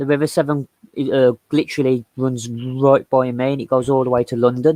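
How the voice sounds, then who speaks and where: A man talks with a West Midlands accent at a medium pitch. His tone is dark and mellow, and his intonation is flat and monotone. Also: dry, close sound with no echo. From West Midlands, England. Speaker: livestream co-host. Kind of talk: casual chat.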